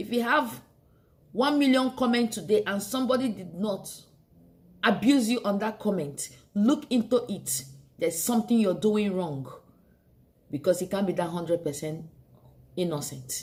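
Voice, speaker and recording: At a moderate pace, a somewhat breathy woman speaks at a medium pitch with very wide pitch swings and long, frequent pauses. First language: not English. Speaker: beauty vlogger. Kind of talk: motivational monologue.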